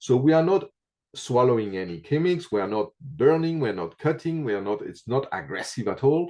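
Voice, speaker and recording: At a moderate pace, a man with a non-native accent speaks in a medium pitch and a dark, mellow tone, his pitch swinging very widely. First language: not English. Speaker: reflexology teacher. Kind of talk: interview. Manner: halting, many fillers.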